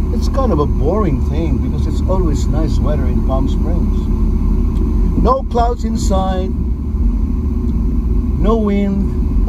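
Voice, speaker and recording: A man speaks at a fairly slow pace. The sound is dry with no echo, under loud background noise. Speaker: vlogger. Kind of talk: casual vlog chat. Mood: relaxed, cheerful. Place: car.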